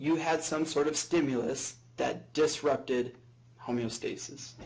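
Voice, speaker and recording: Vocal fry runs through a man's speech, which keeps a fairly even intonation. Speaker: professor. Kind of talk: lecture. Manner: droning.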